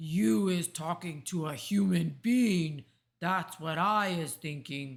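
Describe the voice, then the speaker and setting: A put-on character voice at a middle pitch, fairly slow in pace, on a very clean recording with a silent background. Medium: read story. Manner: loud, bullying, ungrammatical.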